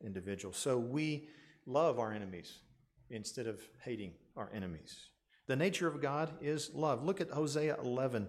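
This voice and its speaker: There is audible room echo around a man's voice. His pitch is medium and his intonation lively. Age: 60s. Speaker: pastor. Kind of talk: sermon.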